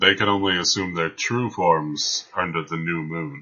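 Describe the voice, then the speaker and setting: A man's put-on character voice, very deep and low, at a moderate pace. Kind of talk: formal, slightly archaic phrasing. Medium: actual play. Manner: calm, precise, dry.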